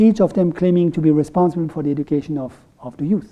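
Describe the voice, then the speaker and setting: Dark, mellow voice in a French accent, with ordinary pitch variation and a fairly quick pace. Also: man. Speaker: economist. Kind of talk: lecture. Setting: room with audience. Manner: halting.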